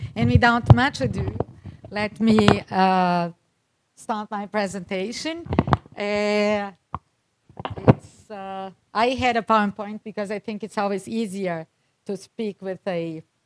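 A woman speaks very slowly, stopping often for long pauses. Her pitch moves in an ordinary way while her loudness swings widely. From Brazil. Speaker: ambassador; guest. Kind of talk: conference presentation. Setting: stage with audience. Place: hall. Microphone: handheld.

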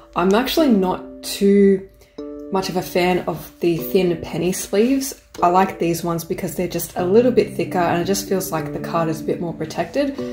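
Clear music plays in the background as a woman with a fairly low pitch speaks at a moderate pace. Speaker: card opening vlogger. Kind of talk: casual vlog chat. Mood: excited, cheerful. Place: home room.

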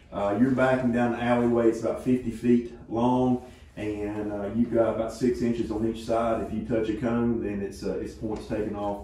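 The speech moves at a moderate pace with hardly any pauses. Room echo is audible. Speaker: high school agriculture teacher. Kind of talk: informal remarks at meeting. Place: meeting room. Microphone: camera far.

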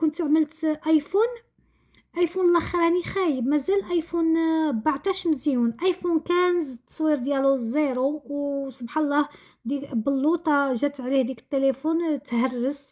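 Against a quiet background, a woman with a high voice talks at a fairly slow pace with ordinary pitch variation. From Morocco, Tangier; Morocco. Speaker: lifestyle vlogger. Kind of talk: casual vlog narration. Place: kitchen.

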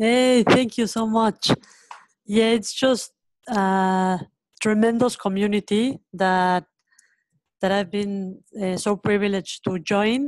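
With a Spanish accent, a woman talks at a very slow pace with long, frequent pauses and fairly even intonation. The sound is dry with no echo. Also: quiet background. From Mexico. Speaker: education nonprofit founder. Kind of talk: webinar panel conversation. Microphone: video call.

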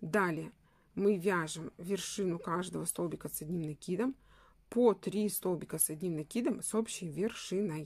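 A woman speaks at a medium pitch with ordinary pitch variation, recorded very cleanly against a silent background. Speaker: crochet instructor. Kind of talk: tutorial. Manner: slow.

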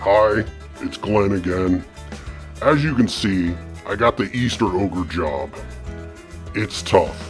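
A man's cartoonish character voice at a fairly slow pace, with clear music in the background. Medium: puppet show. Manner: weary, grumbling, self-pitying.

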